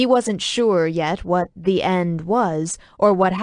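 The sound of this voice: The voice is an unforced reading voice. Pitch rises and falls by an ordinary amount.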